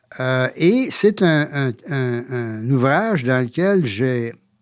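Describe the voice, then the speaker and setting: A man talks with lively intonation at a medium pitch. The background is silent and the recording very clean. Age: 80s+. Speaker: author and former university rector. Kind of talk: interview. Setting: studio. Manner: halting, many fillers.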